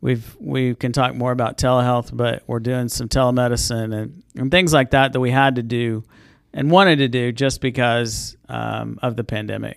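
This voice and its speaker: A man with a medium pitch and ordinary pitch variation talks at a moderate pace on a very clean recording with a silent background. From Southwest Kansas. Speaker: healthcare executive. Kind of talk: interview.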